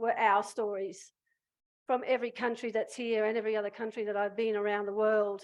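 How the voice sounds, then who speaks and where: Against a quiet background, a woman with an Australian accent speaks at a moderate pace and a fairly high pitch, her intonation fairly even. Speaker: prison abolition activist. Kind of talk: public speech. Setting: stage with audience. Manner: impassioned.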